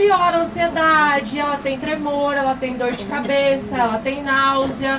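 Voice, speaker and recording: Amid noticeable background noise and audible room echo, a woman speaks at a fairly slow pace with a high pitch and lively intonation. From Paraná, southern Brazil. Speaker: pharmacy professor. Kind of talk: lecture. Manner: animated.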